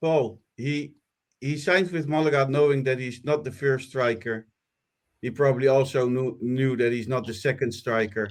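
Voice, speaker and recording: A man talks at a moderate pace with a medium pitch and ordinary pitch variation. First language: not English. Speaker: football podcast host. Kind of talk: casual chat. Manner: hesitant, with fillers.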